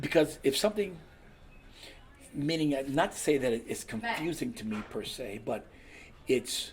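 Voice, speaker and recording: Using an American accent, a man with a fairly high pitch speaks at a moderate pace with very wide pitch swings and long, frequent pauses. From US West Coast, California. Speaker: DJ and master of ceremonies. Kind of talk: casual chat. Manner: loud; halting.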